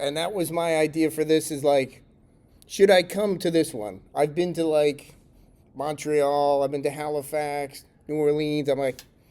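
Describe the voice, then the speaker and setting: A man with an American accent, fairly high-pitched with a dark, mellow tone, fairly even intonation and a fairly slow pace. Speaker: tech conference speaker. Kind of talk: conference talk. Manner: casual, conversational with fillers.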